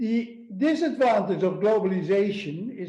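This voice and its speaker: Speaking at a very slow pace with a Dutch accent, a man uses a high pitch with ordinary pitch variation amid audible room echo. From Netherlands. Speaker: obstetrics professor. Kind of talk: lecture.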